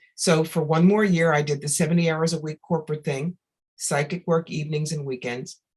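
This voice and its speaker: A woman with an American accent speaks at a fairly quick pace in a very deep, low pitch that is somewhat breathy. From New York. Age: 60s. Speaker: psychic medium. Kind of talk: interview.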